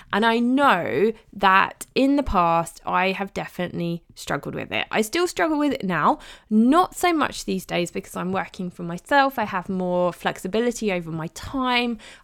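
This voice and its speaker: On a very clean recording with a silent background, a woman speaks in a British accent. Her medium pitch has ordinary variation, and her pace is moderate. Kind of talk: solo podcast monologue.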